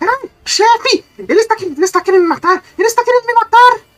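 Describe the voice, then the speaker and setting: A put-on character voice is shouting in an extremely high pitch. The delivery is very fast. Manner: panicked, screaming.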